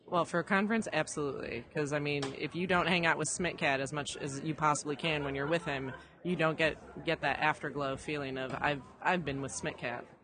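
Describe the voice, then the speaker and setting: Amid noticeable background noise, a woman with an American accent talks at a fairly quick pace in a very deep, low pitch with fairly even intonation. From Chicago area, US Midwest. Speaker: design conference ambassador. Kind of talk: casual interview. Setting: at a design conference.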